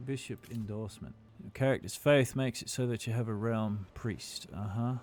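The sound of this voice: The speaker uses an unforced reading voice. It sounds unforced throughout.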